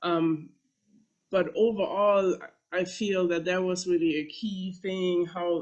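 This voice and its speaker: With a German accent, a woman speaks at a fairly slow pace. Her medium pitch holds fairly even intonation. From Germany. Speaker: professor. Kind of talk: panel talk. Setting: panel presentation with slides. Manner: halting, many fillers.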